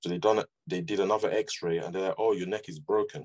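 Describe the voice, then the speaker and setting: A man speaks at a fairly quick pace. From UK, Nigerian parents. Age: 30s. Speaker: scoliosis patient sharing his story. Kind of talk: interview testimony. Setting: podcast interview. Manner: halting, with repetitions.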